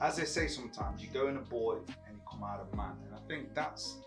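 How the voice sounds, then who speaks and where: A man talks at a fairly quick pace while clear music sounds behind him. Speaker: guest. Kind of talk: interview answer. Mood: reflective, warm.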